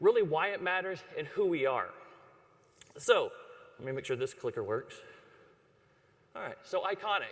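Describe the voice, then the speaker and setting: A man speaks at a moderate pace in a Texan accent. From Texas (Dallas). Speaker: ad agency creative chief. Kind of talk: conference presentation. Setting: stage with audience. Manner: casual.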